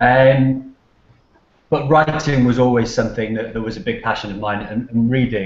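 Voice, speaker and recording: A man with a Cardiff accent at a medium pitch, moderate pace and ordinary pitch variation, with audible room echo. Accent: Welsh (Cardiff). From Cardiff, Wales. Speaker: author and PR professional. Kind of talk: interview answer. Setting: video call. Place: office. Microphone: video call.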